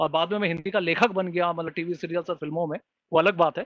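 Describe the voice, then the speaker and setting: A man with a non-native accent. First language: not Hindi (speaking Hindi). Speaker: webinar moderator, screenwriter. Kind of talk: webinar panel discussion.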